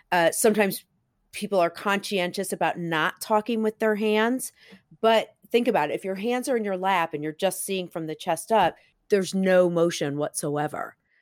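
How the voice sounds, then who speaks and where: A woman's medium-pitched, animated voice at a moderate pace, with ordinary pitch variation, in a very clean, dry, close recording with a silent background and no echo. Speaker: marketing consultant. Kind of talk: interview. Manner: varied pitch, animated.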